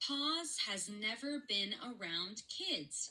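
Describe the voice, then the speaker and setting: A woman's put-on character voice at a fairly high pitch and a very slow pace. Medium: read story.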